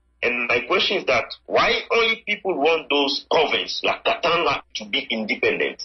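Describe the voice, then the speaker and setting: Background music under a man talking at a moderate pace. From Democratic Republic of the Congo. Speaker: mining researcher, doctoral student. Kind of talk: interview answer.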